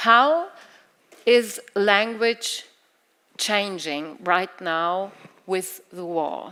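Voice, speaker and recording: A woman speaks with a German accent. Her pitch sits in the medium range. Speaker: literary event moderator. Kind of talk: moderated literary talk. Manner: halting.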